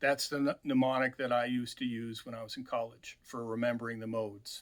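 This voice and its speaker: A man speaks in a flat, monotone delivery at a medium pitch. His pace is fairly quick. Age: 60s. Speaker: mandolin teacher. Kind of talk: tutorial. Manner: halting, many fillers.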